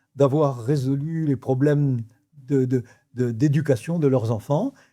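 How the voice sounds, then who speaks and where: Caught in a very clean recording with a silent background, a man talks very slowly at a fairly high pitch with ordinary variation, his somewhat breathy voice dark and mellow in tone. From Morocco (Rabat), French expatriate family. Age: 80s+. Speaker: real estate developer, entrepreneur. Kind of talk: interview answer.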